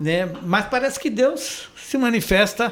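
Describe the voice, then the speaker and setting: Over noticeable background noise, a man talks at a very slow pace. His pitch swings very widely. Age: 60s. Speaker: chiropractor. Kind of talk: interview.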